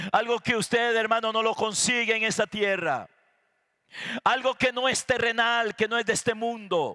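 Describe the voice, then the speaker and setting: An extremely high-pitched man's voice, raised and projected with a bright, sharp tone, holds fairly even intonation and very even loudness in a dry, close sound with no echo. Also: moderate pace. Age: 60s. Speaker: pastor. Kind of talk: sermon.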